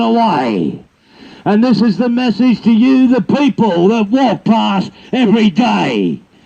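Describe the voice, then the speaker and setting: Against noticeable background noise, the speaker uses ordinary pitch variation with an Australian accent. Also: man. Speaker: bush poet. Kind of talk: poetry reading.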